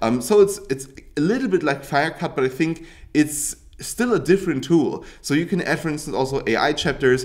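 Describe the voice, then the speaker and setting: A man with a German accent talks at a fairly quick pace in a fairly high pitch. His intonation is lively. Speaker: YouTube tutorial creator. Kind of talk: tutorial. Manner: casual, hesitant with fillers and restarts.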